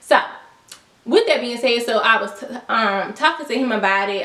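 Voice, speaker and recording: A woman's fairly high voice comes through noticeable background noise and audible room echo. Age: 20s. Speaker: YouTuber. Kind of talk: storytime vlog. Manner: casual, slangy.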